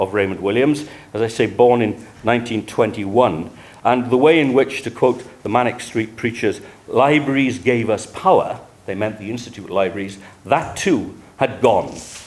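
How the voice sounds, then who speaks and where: In a South Wales accent, a man speaks with ordinary pitch variation amid audible room echo. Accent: South Wales valleys. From Wales, Rhondda Valley. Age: 70s. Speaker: historian. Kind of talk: lecture. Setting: conference room with audience. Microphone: speaking without a microphone.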